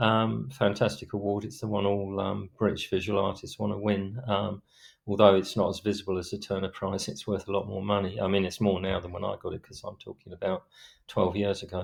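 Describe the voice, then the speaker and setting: A man with a South London accent, fairly low in pitch, with monotone, flat intonation. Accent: old South London. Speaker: author. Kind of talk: podcast interview. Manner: hardly opens mouth, stone-faced delivery; hesitant, many fillers.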